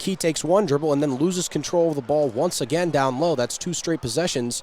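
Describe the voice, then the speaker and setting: A man with a plain, everyday voice talks at a fairly quick pace. His pitch is fairly high, with ordinary variation. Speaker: sports broadcaster, play-by-play announcer. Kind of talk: basketball play-by-play.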